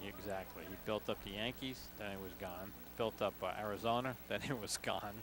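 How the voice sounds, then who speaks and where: A man with an American accent speaks at a fairly low pitch, with vocal fry in his voice. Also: lively intonation, moderate pace. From New York.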